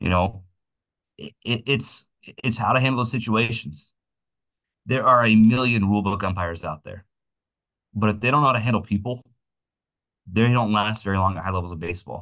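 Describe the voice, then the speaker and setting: Against a quiet background, a man with a fairly low, bright, sharp voice and ordinary pitch variation speaks at a fairly quick pace but leaves long, frequent pauses. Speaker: umpire and umpiring clinic instructor. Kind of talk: instructional clinic talk. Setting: video call. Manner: loud; casual with many false starts.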